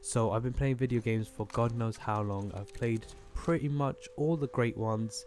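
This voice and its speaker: A British accent at a moderate pace, ordinary pitch variation, and noticeable background noise. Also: man, medium pitch for a man. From Britain. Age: 20s. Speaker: gaming YouTuber. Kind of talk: gameplay commentary. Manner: casual, filler-heavy.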